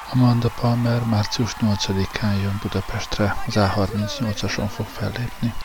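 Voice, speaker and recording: Over noticeable background noise, a man with a fairly low pitch talks in a monotone, flat intonation with hardly any pauses. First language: Hungarian. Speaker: radio host. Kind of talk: presenting a music show in Hungarian, introducing and commenting on songs.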